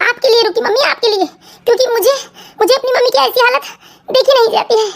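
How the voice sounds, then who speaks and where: At a fairly quick pace, a woman puts on a character voice with extremely high pitch and very even loudness. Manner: emotional, tearful, pleading.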